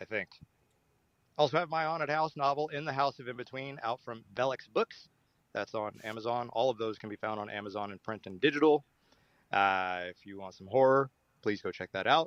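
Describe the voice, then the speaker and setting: A man at medium pitch and a fairly quick pace, with ordinary pitch variation, big swings in loudness and a dry, close sound with no echo over a quiet background. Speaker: horror author leaving a voicemail. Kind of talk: voicemail message. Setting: in a car. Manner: halting. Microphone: phone voicemail.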